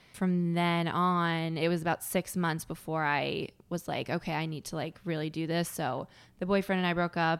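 A woman with an American accent speaks in a fairly low pitch and a flat, monotone intonation. The recording is very clean with a silent background. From Connecticut. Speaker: stand-up comedian. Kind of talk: casual chat.

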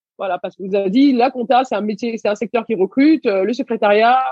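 Here is an ordinary speaking voice from a woman. Her pitch is fairly high and her pace fairly quick. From Senegal, raised in Paris region from age 6. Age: 30s. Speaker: entrepreneur. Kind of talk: interview.

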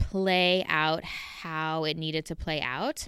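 On a very clean recording with a silent background, a woman with a Southern California accent speaks with a very deep, low pitch and a bright, sharp tone. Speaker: podcast host. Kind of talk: personal monologue. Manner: casual, conversational.

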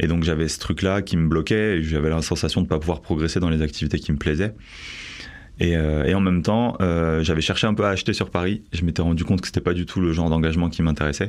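Very fast and very deep, a man's voice holds very even loudness with fairly even intonation. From Bordeaux, France. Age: 30s. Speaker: tiny house dweller, 3D artist. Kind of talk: testimony.

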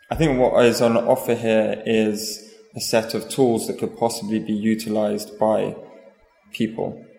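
At a fairly slow pace and with monotone, flat intonation, a man with a medium pitch speaks over noticeable background noise. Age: young. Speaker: artist. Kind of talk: interview. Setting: gallery. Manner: halting, many fillers.

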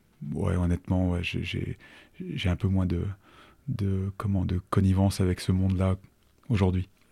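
The dark, mellow voice moves at a fairly slow pace with fairly even intonation and long, frequent pauses, in a dry, close sound with no echo on a very clean recording with a silent background. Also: man, very deep, low pitch for a man. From Savoie, France (Annecy). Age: 50s. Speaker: entrepreneur. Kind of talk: interview. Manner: halting.

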